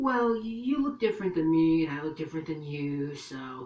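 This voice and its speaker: At a middle pitch, a put-on character voice proceeds at a moderate pace. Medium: solo performance. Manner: condescending.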